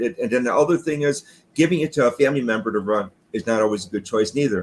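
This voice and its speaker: A man's lively intonation at a very fast pace. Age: 60s. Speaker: retired garage door business owner. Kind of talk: interview. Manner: halting.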